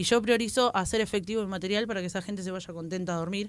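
Talking very fast with fairly even intonation, a woman uses a medium pitch on a very clean recording with a silent background. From Buenos Aires western suburbs, Argentina. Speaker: stand-up comedian. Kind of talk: casual chat.

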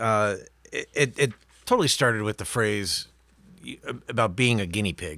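A man's playful, medium-pitched voice with ordinary pitch variation, big swings in loudness and long, frequent pauses, on a very clean recording with a silent background. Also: moderate pace. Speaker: podcast co-host. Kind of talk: casual banter. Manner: joking, playful.

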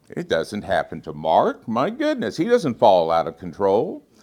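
Moderately paced speech comes from a man. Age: 60s. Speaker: guest preacher. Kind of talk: sermon.

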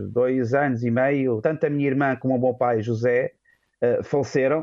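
An unremarkable speaking voice from a man, medium in pitch, at a moderate pace. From Portugal, Vila Franca de Xira near Lisbon. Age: 40s. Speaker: seminarian about to be ordained deacon. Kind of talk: radio interview.

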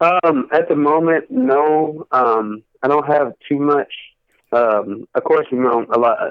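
At a very slow pace, a man speaks at a fairly high pitch with ordinary pitch variation and very even loudness. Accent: American. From Texas (Cleveland, then Fort Worth). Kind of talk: interview.

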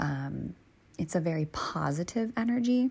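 A woman talks at a moderate pace in a fairly low pitch, with vocal fry and a slightly husky edge. Her tone is slightly mellow and her intonation lively.

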